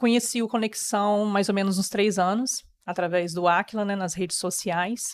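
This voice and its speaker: A woman's normal speaking voice at a moderate pace, fairly even in intonation, with a dry, close sound and no echo. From Brazil, rural Rio de Janeiro state (Campos dos Goytacazes area). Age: 30s. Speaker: interview guest sharing life story. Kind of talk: personal testimony.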